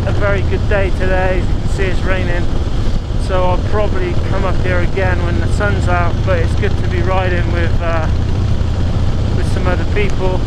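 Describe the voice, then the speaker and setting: Loud background noise fills the clip, though the sound is dry with no echo. The pace is moderate. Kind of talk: casual vlog chat. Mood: mildly disappointed about weather. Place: motorbike.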